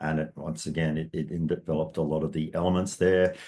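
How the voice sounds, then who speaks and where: A man with an Australian accent speaks at a fairly quick pace in a dark, mellow tone. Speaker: metaphysics teacher. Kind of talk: online course introduction. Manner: fast.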